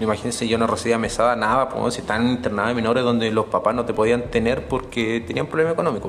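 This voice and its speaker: A man with a Chilean accent and medium pitch speaks at a very fast pace with hardly any pauses, fairly even intonation, and very even loudness, over noticeable background noise. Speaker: podcaster. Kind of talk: storytelling monologue.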